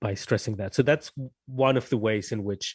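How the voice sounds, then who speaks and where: Recorded with a dry, close sound and no echo, a man talks at a moderate pace in a somewhat breathy voice with a slight non-native accent. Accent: slight foreign. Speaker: novelist. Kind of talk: interview. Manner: halting, many repetitions.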